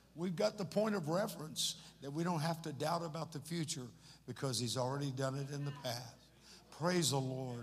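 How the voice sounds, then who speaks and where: The speech moves at a moderate pace, and audible room echo can be heard. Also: man. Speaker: pastor. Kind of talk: church service address. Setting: church. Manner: animated.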